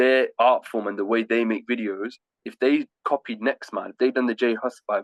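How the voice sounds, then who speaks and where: At a moderate pace, a man with an English Midlands accent speaks in a dry, close sound with no echo. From Leamington Spa, England. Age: 20s. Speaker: rapper and music artist. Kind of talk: interview answer. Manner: casual, conversational.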